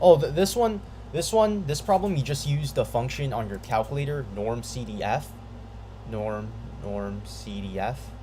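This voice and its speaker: With audible room echo behind him, a man talks at a moderate pace. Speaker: math tutorial video maker. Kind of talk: tutorial. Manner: halting, stuttering; casual, filler-heavy.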